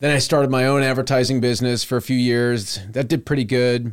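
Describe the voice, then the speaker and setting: Here is a man with an ordinary speaking voice, medium in pitch and fairly even in intonation. He talks at a fairly quick pace in a very clean recording with a silent background. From Texas, Houston suburbs. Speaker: farmer. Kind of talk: casual chat.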